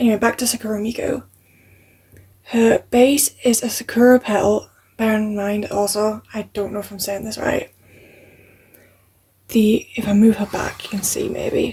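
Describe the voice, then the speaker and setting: A woman with a fairly high, somewhat breathy voice and a dark, mellow tone speaks at a moderate pace with fairly even intonation, long, frequent pauses and big swings in loudness. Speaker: hobby vlogger. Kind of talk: show and tell. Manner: casual, chatty. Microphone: cheap microphone.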